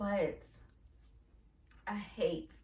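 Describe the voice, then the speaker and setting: A woman with an American accent talks in an animated tone. Audible room echo surrounds her voice. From Brooklyn, New York. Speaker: podcast host. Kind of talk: casual podcast monologue.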